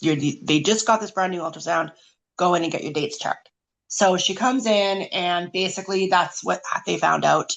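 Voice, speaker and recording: A woman with a Canadian accent and vocal fry, at medium pitch and a moderate pace, with ordinary pitch variation. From Canada, rural British Columbia. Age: 40s. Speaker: omphalocele survivor. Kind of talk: testimony, partly read aloud.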